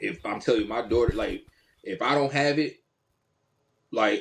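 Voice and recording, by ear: A man talks at a moderate pace with a fairly low pitch, ordinary pitch variation and a slightly husky edge. Vocal fry shows up in his voice.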